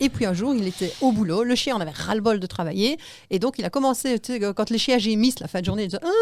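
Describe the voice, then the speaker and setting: At a very fast pace, a woman with a Liège accent speaks with lively intonation and a fairly high pitch. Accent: Liège Belgian. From Belgium, Liège. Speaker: animal-assisted therapist. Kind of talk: radio interview. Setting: radio studio.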